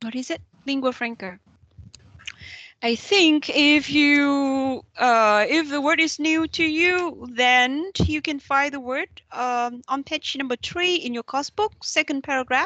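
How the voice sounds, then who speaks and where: Over a quiet background, a raised, projected voice with a bright, sharp tone speaks at a very slow pace with ordinary pitch variation. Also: woman, high pitch for a woman, dry, close sound with no echo. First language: Vietnamese. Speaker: university lecturer. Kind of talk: lecture.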